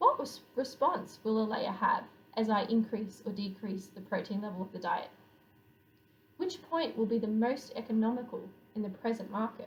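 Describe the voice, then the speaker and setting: A woman speaks at a moderate pace with an Australian accent and ordinary pitch variation. Room echo is audible around her voice. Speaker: poultry researcher. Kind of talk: scientific conference presentation.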